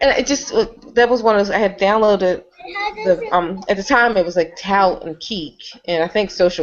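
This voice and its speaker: Ordinary pitch variation marks a woman's fairly quick speech. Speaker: video blogger hosting a group hangout. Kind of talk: casual group chat. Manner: fast.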